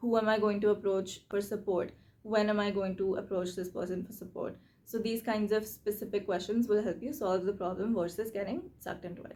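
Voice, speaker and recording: This woman has a medium pitch and fairly even intonation. Her pace is fairly quick. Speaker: YouTuber, self-reflection and reading channel host. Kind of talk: tutorial. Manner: fast; casual, conversational.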